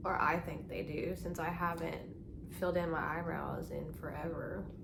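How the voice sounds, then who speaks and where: Background noise is noticeable in this clip. Through it, a woman speaks at a moderate speed. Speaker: makeup tutorial creator. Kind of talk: casual talk to camera. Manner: monotone.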